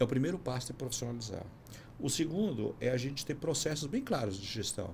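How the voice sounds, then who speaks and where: This man talks at a fairly quick pace in a medium pitch, with lively intonation. His voice is somewhat breathy. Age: 60s. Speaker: business consultant. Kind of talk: podcast interview.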